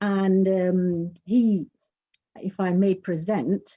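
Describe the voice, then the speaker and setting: A woman talks at a medium pitch with a dark, mellow tone that is somewhat breathy. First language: Urdu. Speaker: poet and English teacher. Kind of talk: poetry reading. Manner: halting.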